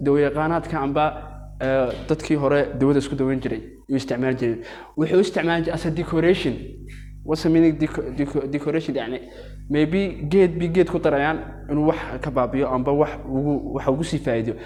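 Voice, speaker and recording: Fast-talking, a man with a dark, mellow tone and a fairly high pitch keeps his intonation fairly even, yet pauses often and at length. Audible room echo surrounds his voice. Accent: Arabic. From Yemen. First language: Arabic. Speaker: teacher. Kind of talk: lecture. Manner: halting.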